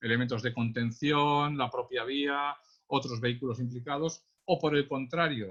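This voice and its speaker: With a Catalan accent, a man talks at a fairly high pitch with fairly even intonation. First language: Catalan (speaking Spanish). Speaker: traffic police accident investigator, trainer. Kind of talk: webinar lecture. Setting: online webinar. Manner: hesitant, many fillers.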